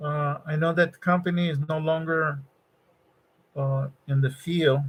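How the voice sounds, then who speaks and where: A man with a high pitch speaks at a fairly slow pace, keeping his intonation fairly even. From Mexico, Nuevo Laredo (border region). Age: 60s. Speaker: electronics design engineer and livestreamer. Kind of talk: casual live-stream chat with viewers. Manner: halting, many fillers and repetitions.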